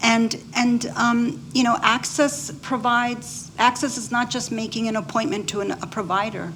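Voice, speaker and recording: A woman talks at a fairly slow pace. Noticeable background noise runs beneath her. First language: Spanish. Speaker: physician. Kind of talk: panel discussion.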